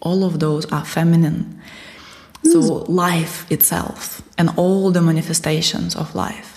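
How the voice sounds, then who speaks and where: A woman in a Russian accent speaks at a very slow pace with a fairly low pitch and monotone, flat intonation. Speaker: spiritual teacher. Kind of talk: interview.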